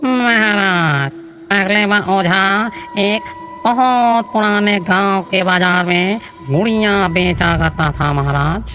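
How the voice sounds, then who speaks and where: A cartoonish character voice at a middle pitch is heard over clear background noise. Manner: deferential, keeps saying "maharaj".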